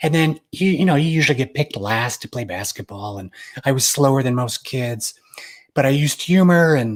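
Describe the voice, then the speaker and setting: A man with an American accent and a plain, everyday voice, medium pitch, lively intonation and a fairly quick pace, in a very clean recording with a silent background. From Utah. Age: 40s. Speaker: pianist. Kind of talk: interview.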